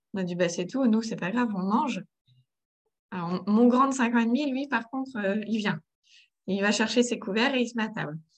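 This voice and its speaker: A woman with a fairly high, somewhat breathy voice and ordinary pitch variation speaks at a moderate pace, with long, frequent pauses. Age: 30s. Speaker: mother of three in parenting coaching. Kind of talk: coaching conversation.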